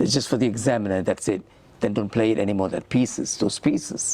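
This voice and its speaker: Noticeable background noise is audible. Through it, a man talks. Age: 70s. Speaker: musician and composer. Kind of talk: interview.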